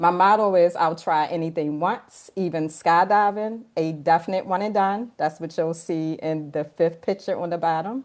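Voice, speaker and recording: A woman with a Baltimore accent talks with hardly any pauses, a fairly low pitch and ordinary pitch variation against a quiet background. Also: moderate pace. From Baltimore, Maryland. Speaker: podcast co-host and coach. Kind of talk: personal introduction.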